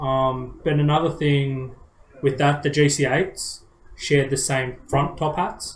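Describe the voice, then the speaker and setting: Amid audible room echo, a man with a fairly high, somewhat breathy voice speaks slowly-ish at a fairly slow pace in a monotone, flat way. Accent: Australian. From Australia. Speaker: car enthusiast podcast co-host. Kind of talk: casual chat. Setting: live stream.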